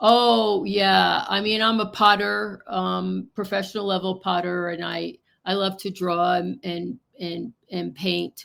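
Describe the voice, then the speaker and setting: The speaker talks at a very slow pace. The voice carries a New Jersey accent. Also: woman. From New Jersey, US. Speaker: psychic. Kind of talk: casual interview.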